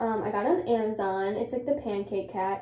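Audible room echo surrounds the recording. A woman talks with ordinary pitch variation. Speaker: vlogger. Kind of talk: casual vlog chat. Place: home room. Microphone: phone near.

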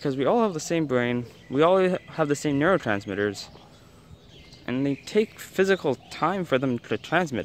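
A man with a Canadian accent and a fairly high pitch talks at a moderate pace with very wide pitch swings, the dry sound carrying no echo over light background noise. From Canada. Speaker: travel vlogger. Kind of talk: travel vlog talk to camera. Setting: outdoors. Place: street. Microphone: phone near.

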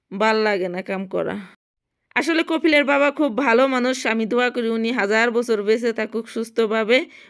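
Speaking at a fairly high pitch, a woman uses a normal speaking voice with ordinary pitch variation. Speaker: domestic worker vlogger. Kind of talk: casual vlog narration.

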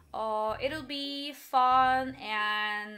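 A woman with a Korean accent speaks in a raised, projected voice with very wide pitch swings. Faint music plays in the background. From South Korea. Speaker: singer-songwriter streamer; livestreamer. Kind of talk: casual live stream chat. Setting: live stream. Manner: halting, with restarts. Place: home room.

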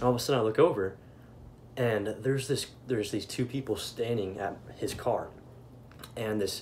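A somewhat breathy male voice at a fairly quick pace, with light background noise. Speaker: vlogger. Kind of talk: casual vlog chat. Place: home room. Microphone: phone near.

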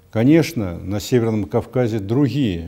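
Against a quiet background, a man speaks fairly slowly in a dark, mellow tone. His pitch varies in an ordinary way. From Russia. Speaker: politician. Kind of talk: interview statement. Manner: formal. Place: office.

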